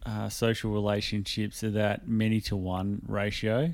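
In a very clean recording with a silent background, a man with an Australian accent speaks at a fairly slow pace. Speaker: podcast host. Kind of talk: casual banter podcast chat. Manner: casual, joking, swears a lot.

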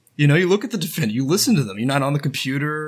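Vocal fry runs through this man's American accent as his pitch swings very widely. The recording is very clean, with a silent background. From Houston, Texas. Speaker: political organizer. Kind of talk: casual chat.

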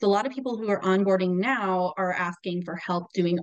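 A woman speaks in a plain, everyday voice with an American accent. Her pitch sits at a medium level with ordinary variation. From US Southwest, New Mexico. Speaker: bookkeeper. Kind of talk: podcast interview.

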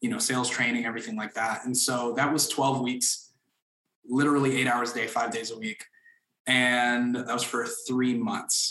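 Bright and sharp in tone, a man speaks at a moderate pace and medium pitch with monotone, flat intonation. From Florida, Orlando. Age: 20s. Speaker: mortgage broker. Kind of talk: interview.

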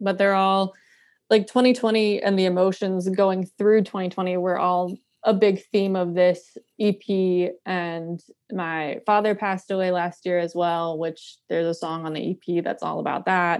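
In an American accent, a woman speaks at a fairly slow pace with monotone, flat intonation and a medium pitch. The background is quiet. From North Carolina. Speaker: singer-songwriter. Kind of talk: casual interview. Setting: video call.

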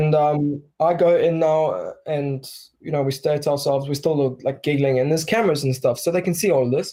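Somewhat breathy and dark, mellow in tone, a man speaks fairly quickly at a fairly high pitch with fairly even intonation. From Bulgaria; South Africa. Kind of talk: casual chat. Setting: video call.

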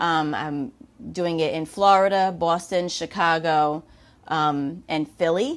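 Speaking in a New York accent, a woman has a fairly low pitch and fairly even intonation. She goes at a very slow pace in a very clean recording with a silent background. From New York, Lower Westchester. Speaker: fitness and pain-relief coach, podcast host. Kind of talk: solo monologue podcast.

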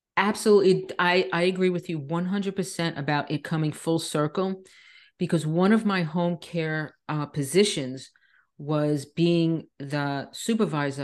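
A woman speaks in a normal speaking voice, fairly low in pitch with ordinary pitch variation. Her pace is moderate and the background is quiet. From Long Island, New York. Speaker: nurse and wellness coach. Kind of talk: interview.

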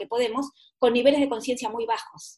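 A woman talks very fast, her pitch fairly high. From Argentina. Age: 60s. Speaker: author and therapist. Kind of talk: interview.

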